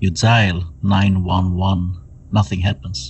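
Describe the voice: A man's low-pitched voice, slow and with little pitch movement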